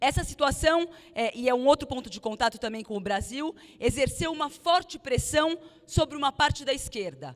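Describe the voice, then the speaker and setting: In a slight non-native accent, a woman speaks at a moderate pace and high pitch. Her intonation is lively. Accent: slightly foreign Portuguese, rusty. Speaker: political activist leader. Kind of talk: political speech. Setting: rally at union hall with audience. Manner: halting, many fillers.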